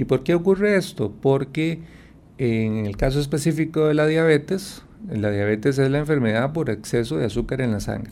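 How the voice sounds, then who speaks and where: A man's fairly high-pitched voice with a dark, mellow tone, lively intonation and a moderate pace. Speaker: endocrinologist doctor. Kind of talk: radio health interview.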